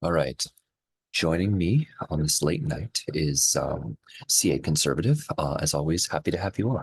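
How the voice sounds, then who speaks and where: A soft-spoken man, recorded dry and close with no echo. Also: moderate pace. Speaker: podcast host. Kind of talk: casual chat.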